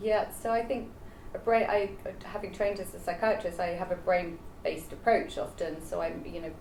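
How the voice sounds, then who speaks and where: At a moderate pace, a woman's speech comes with audible room echo around it. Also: medium pitch for a woman, ordinary pitch variation. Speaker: longevity doctor. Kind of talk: panel discussion.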